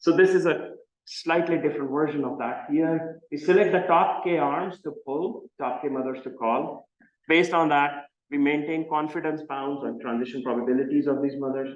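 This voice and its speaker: With a Marathi accent, a man speaks at a fairly high pitch and ordinary pitch variation, with audible room echo. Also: moderate pace. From India, Mumbai. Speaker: computer science professor. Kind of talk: lecture. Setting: seminar with audience.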